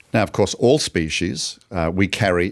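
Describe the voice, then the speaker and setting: A man's normal speaking voice, fairly low in pitch and fairly slow, on a very clean recording with a silent background. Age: 60s. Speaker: ministry podcast host. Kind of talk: casual chat.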